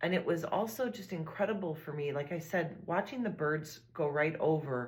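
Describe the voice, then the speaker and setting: A woman's fairly low, warm, somewhat breathy voice at a moderate pace, with lively intonation. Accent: American. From Illinois, US. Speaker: podcast host. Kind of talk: podcast monologue. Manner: warm, reflective.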